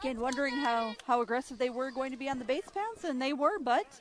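A woman with a high voice talks at a moderate pace over noticeable background noise. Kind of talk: color commentary alongside play-by-play announcer. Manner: conversational, measured analyst, offering observations between pitches.

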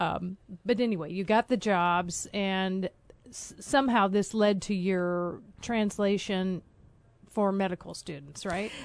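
Against a quiet background, a plain, everyday voice talks at a fairly slow pace with ordinary pitch variation. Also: woman, medium pitch for a woman. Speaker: podcast host. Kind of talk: interview.

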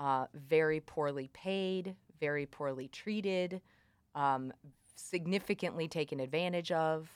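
A woman with an American accent, very deep and low-pitched, speaking at a fairly slow pace with fairly even intonation. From Missouri, US Midwest (Columbia). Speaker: farmer. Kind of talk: interview.

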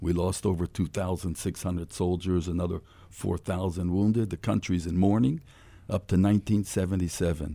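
In a very clean recording with a silent background, a man talks in a very deep, low voice. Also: fairly even intonation, fairly quick pace. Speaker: former basketball player. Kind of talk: radio interview. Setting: studio.

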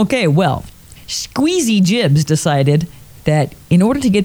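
Straightforward reading aloud.

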